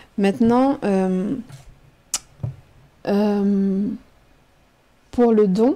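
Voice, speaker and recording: A woman speaks with a dark, mellow tone. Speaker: teacher and writer. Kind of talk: radio interview answer. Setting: studio.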